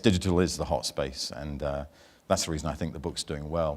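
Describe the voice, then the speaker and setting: With a British accent, a man speaks at a fairly quick pace and ordinary pitch variation in a very clean recording with a silent background. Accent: British accent, noticeable to NZ audience. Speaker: banking industry speaker and author. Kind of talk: conference keynote. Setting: stage with audience at conference.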